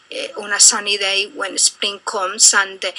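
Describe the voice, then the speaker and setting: A woman with a Colombian accent is heard against noticeable background noise. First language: Spanish. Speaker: interviewee, immigrant. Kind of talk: interview. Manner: halting, many fillers.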